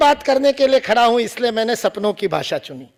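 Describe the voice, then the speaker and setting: The voice has an animated tone and lively intonation, recorded very cleanly with a dry, close sound, no echo and a silent background. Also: man. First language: Marathi (speaking Hindi). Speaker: public speaker. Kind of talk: lecture. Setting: stage with audience.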